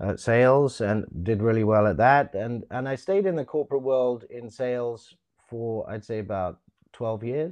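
Against a quiet background, a man with an unremarkable speaking voice talks at a moderate pace, medium in pitch with ordinary pitch variation. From London, England, then Canada. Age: 50s. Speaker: actor and coach. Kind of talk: casual interview. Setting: video call.

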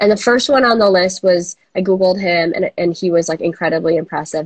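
A plain, everyday voice, a woman with an American accent talks at a fairly quick pace with ordinary pitch variation, the sound dry and close with no echo. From Minnesota. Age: 30s. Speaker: coworking space founder. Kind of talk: interview. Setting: video call.

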